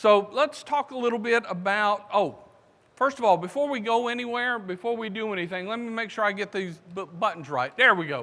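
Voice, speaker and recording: In a Southern US accent, the speaker uses a raised, projected voice at a fairly quick pace with ordinary pitch variation. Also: man, high pitch for a man. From US South, South Carolina. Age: 60s. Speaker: conference speaker. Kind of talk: conference talk.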